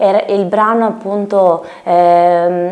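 The woman here has a fairly low pitch. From Lithuania, moved to Italy at 10. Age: 20s. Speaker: singer-songwriter; guest. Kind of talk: interview. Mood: calm, friendly. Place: studio.

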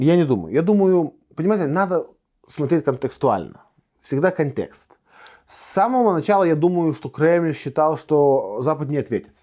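Dark and mellow in tone, a man's fairly high-pitched voice moves at a moderate pace. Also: lively intonation, very clean recording, silent background. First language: Lithuanian (speaking Russian). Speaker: politician. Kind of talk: interview. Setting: studio. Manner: halting.

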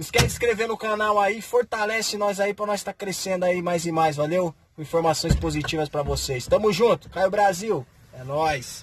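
A high-pitched man at a moderate pace, with ordinary pitch variation and light background noise. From Brazil, São Paulo state interior (Campinas); São Paulo state, Brazil. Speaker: truck driver vlogger; channel host. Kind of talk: casual vlog chat. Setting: truck stop at night. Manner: animated. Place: home room. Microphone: phone near.

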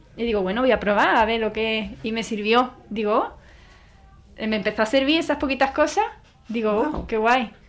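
Music plays in the background as a woman speaks at a moderate pace. Her pitch is fairly high, with ordinary pitch variation. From Andalusia, Spain. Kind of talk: interview testimony.

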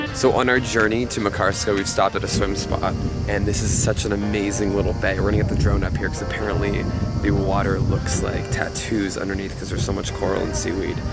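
Loud music plays behind a man who talks at a very fast pace. The sound is dry with no echo. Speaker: travel vlogger. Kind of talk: casual vlog chat. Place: boat. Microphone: phone near.

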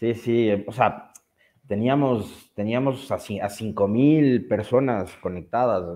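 The pitch variation in this man's speech is ordinary. Little sound intrudes, as the background stays quiet. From Ecuador. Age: 40s. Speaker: journalist. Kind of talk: casual chat. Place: home room. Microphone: video call.

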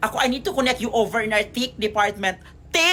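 This woman has a bright, sharp tone. Her pace is moderate. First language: Cebuano/Visayan (speaking Tagalog). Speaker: vlogger and call center agent. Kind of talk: casual vlog storytelling.

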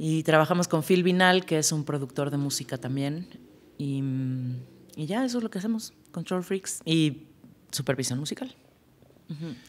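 Pausing long and often, a woman with a very deep, low voice talks at a moderate pace. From Mexico City. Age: 40s. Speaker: music supervisor; podcast guest. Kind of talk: casual chat. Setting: studio. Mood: warm, lively, reflective. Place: studio. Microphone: studio mic.

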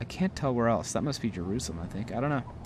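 Light background noise sits behind a man speaking in an animated tone. His pitch swings very widely. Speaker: gaming YouTuber. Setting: solo recording while playing a game. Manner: animated, jokey, sarcastic; when reading the in-game text, slower and more measured, serious and formal. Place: home room. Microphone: headset.

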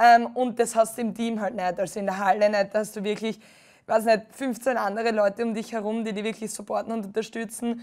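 A woman's fairly high, monotone voice with flat intonation at a fairly quick pace, on a very clean recording with a silent background. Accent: Styrian. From Austria, Styria. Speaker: beach volleyball player. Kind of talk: TV interview.

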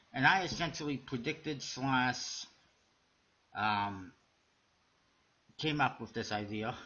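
A man at a very slow pace, with long, frequent pauses and ordinary pitch variation. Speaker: playing card deck reviewer. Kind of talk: casual video review. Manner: halting, with fillers. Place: home room. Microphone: webcam.

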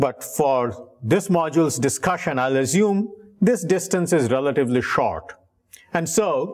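The background is quiet. The pace is fairly slow. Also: man. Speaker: professor. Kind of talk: lecture. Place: classroom.

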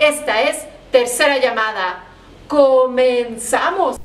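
The woman's voice is pitched high. Its pitch varies in an ordinary way. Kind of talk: show introduction. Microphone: phone near.

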